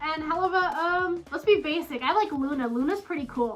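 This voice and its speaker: This woman's voice is high and her pace moderate. She uses lively intonation. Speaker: furry YouTuber. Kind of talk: casual Q&A vlog. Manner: hesitant, filler words.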